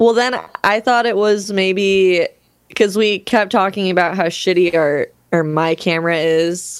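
Keeping a very even loudness, a woman with a normal speaking voice talks fairly slowly at a medium pitch. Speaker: guitarist and vocalist, podcast co-host. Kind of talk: radio DJ patter, mock morning-show station ID, played for laughs over a song intro. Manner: bright, polished, playful, deadpan-jokey; cracks up and breaks character when the bit derails.

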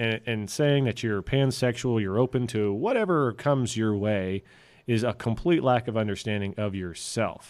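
Recorded very cleanly against a silent background, a man with an American accent has a normal speaking voice, medium pitch, ordinary pitch variation, and a moderate pace. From Texas. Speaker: podcast co-host. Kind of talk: casual chat.

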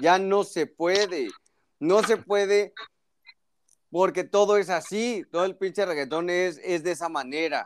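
At a fairly slow pace, a man speaks in a high pitch with an animated tone. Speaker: doctor. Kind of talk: casual chat.

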